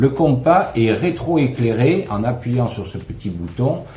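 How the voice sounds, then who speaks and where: Amid audible room echo, a man talks at a very slow pace with lively intonation. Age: 60s. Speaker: customer product reviewer. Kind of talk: product review.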